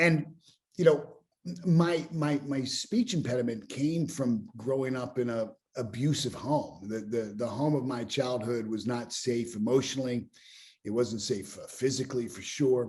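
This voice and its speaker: A man with an American accent speaks fairly slowly at a medium pitch, somewhat breathy. His loudness swings widely. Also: ordinary pitch variation. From US, Pittsburgh. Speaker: business mentor and speaker. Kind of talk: podcast interview. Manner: frequent repetitions and fillers.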